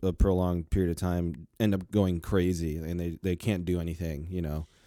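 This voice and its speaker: Recorded very cleanly against a silent background, a man speaks in a very deep, low voice with a dark, mellow tone and monotone, flat intonation. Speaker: podcast co-host. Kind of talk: casual chat.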